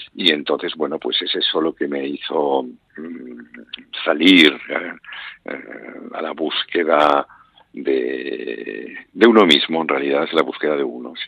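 Very slowly, a man speaks with a very deep, low pitch and ordinary pitch variation. His loudness swings widely. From Spain, Barcelona. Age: 70s. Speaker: author and traveller. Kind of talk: interview. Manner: halting.

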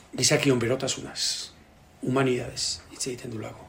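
A man's speech comes with audible room echo over noticeable background noise. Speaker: translator and sports broadcaster. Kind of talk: book presentation talk. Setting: bookshop with audience. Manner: halting.

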